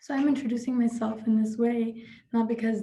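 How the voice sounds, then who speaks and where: The voice has a non-native accent, somewhat breathy with a dark, mellow tone and flat, monotone intonation. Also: woman. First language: not English. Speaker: student representative. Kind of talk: prepared speech.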